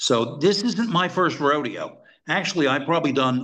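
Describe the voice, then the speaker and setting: A man in a plain, everyday voice, with lively intonation and a fairly quick pace. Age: 60s. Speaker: former intelligence officer. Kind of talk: interview.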